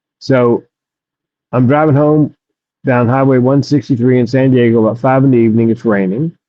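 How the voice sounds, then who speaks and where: A man talks at a fairly quick pace and medium pitch, with fairly even intonation and very even loudness. Long pauses come often. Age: 60s. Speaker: comedian and suicide prevention speaker. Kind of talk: interview testimony.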